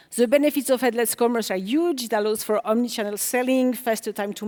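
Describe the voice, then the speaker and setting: A woman speaks with a French accent. Her pitch is high. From France. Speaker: developer relations engineer, conference speaker. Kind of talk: conference talk. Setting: stage with audience.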